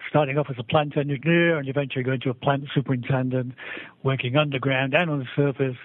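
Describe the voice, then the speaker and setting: Very fast speech with a British accent. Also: man. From England. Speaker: civil engineer, mining executive. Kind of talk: interview. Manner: halting, many repetitions and fillers.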